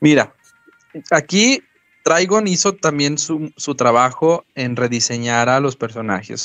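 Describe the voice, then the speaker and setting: Over a quiet background with a dry, close sound and no echo, a man speaks in a plain, everyday voice at a medium pitch and a fairly slow pace. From Mexico. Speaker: podcast co-host. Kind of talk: casual chat. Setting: live stream.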